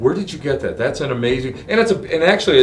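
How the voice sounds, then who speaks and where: A man speaks in an excited tone. The room echoes audibly, and there is noticeable background noise. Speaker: podcast host. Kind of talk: casual interview. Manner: stuttering, excited.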